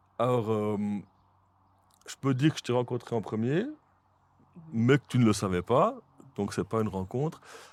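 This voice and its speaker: A man speaks with a Jura Swiss accent at medium pitch with ordinary pitch variation and a moderate pace, leaving long, frequent pauses. The sound is dry and close, with no echo. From Switzerland, Jura. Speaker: podcast host. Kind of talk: casual interview chat. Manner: hesitant, many fillers.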